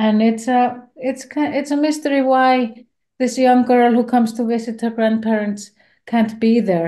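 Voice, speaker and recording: In an Icelandic accent, a woman speaks at a fairly slow pace. Her tone is dark and mellow, and her intonation fairly even. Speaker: film director. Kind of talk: interview. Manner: halting.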